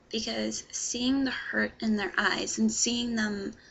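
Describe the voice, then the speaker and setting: A woman at a very slow pace, with noticeable background noise. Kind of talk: scripted personal message to camera.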